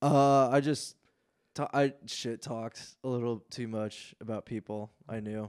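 A man with an American accent, medium pitch and fairly even intonation at a fairly slow pace, in a very clean recording with a silent background. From Indiana, US Midwest. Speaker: stand-up comedian. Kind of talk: casual chat.

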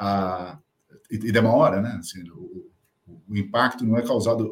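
A somewhat breathy man talks at medium pitch and a moderate pace. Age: 50s. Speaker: company CEO. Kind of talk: interview. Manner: hesitant, many fillers.

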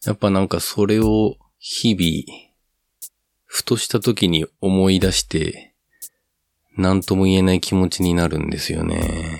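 Fairly even intonation at a fairly slow pace over a very clean recording with a silent background. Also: man, very deep, low pitch for a man. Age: 30s. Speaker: podcaster with heart disease. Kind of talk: solo monologue. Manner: halting.

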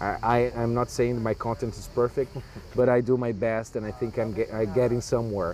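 In a Portuguese accent, a man speaks with monotone, flat intonation. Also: medium pitch for a man, fairly quick pace. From Brazil. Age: young. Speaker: writer and translator. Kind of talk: interview. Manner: halting.

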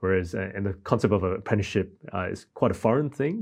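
Over a quiet background, a man with a very deep, low pitch and an Australian accent talks at a very fast pace. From Australia, born in Malaysia, came aged three. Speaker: church minister. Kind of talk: panel discussion.

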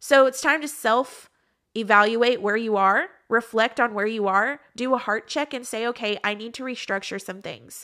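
An animated woman with an American accent, fairly high-pitched and bright, sharp in tone, at a moderate pace with ordinary pitch variation and big swings in loudness. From Texas. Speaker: podcast host, speaker and worship singer. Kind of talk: motivational talk.

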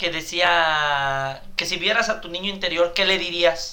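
At a very slow pace, the speech comes through audible room echo and noticeable background noise. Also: man. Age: 30s. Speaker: podcast co-host. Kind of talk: casual chat.

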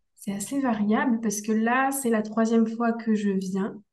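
Fairly high in pitch, a woman speaks at a very slow pace. Audible room echo fills the recording. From Brittany, France. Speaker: instructional designer, entrepreneur. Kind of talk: interview, personal story.

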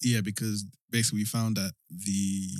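It's a normal speaking voice from a man, fairly low in pitch with ordinary pitch variation. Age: 20s. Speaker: app founder and CEO. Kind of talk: casual interview.

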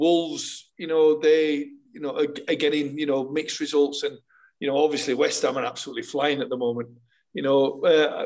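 A man with a plain, everyday voice, fairly high in pitch, at a fairly quick pace. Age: 50s. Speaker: former footballer and co-host.

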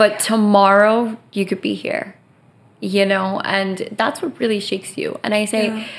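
Fairly even intonation and a fairly slow pace mark an unremarkable speaking voice. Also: woman, fairly high pitch for a woman. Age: 20s. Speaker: podcast host. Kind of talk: casual chat.

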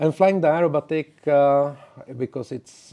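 A man with a Czech accent speaks at a moderate pace. His tone is dark and mellow, with ordinary pitch variation. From Czech Republic. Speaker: network engineer and community evangelist. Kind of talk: interview. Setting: studio. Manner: halting.

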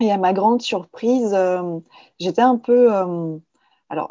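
A woman talks very slowly, with ordinary pitch variation. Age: 30s. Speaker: artist and graphic designer. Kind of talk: casual conversation. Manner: hesitant, with fillers.

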